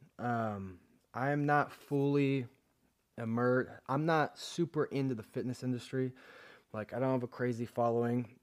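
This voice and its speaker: On a very clean recording with a silent background, a man with a normal speaking voice talks at a moderate pace, medium in pitch, with fairly even intonation. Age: 20s. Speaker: fitness podcast host. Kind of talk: casual monologue.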